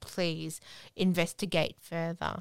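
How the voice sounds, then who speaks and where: A woman speaks at a fairly slow pace with an Australian accent, recorded dry and close with no echo. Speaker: podcast co-host with FND. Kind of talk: casual chat.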